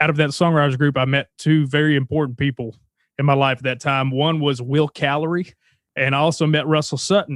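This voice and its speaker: A man with a Southern US accent and a fairly high pitch talks at a fairly quick pace with fairly even intonation. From Arkansas, US South (Texarkana, Texas border). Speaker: songwriter. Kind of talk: casual interview.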